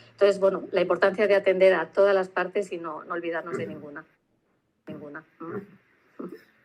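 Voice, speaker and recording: Speaking at medium pitch, a woman shows big swings in loudness. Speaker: nutrition doctor and health coach. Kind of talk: interview. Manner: fast; animated.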